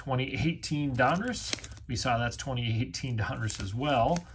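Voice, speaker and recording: Light background noise accompanies speech at a very slow pace. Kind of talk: casual box break commentary. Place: home room.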